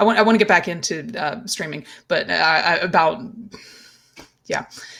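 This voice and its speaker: A woman's medium-pitched voice with ordinary pitch variation and big swings in loudness. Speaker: livestreamer. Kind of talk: casual livestream monologue. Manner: fast; halting, many restarts.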